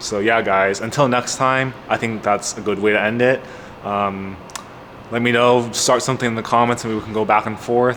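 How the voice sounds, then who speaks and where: Noticeable background noise runs under the recording. The voice stays monotone, with flat intonation. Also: man. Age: 20s. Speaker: car YouTuber. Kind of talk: casual vlog monologue. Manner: halting, many fillers.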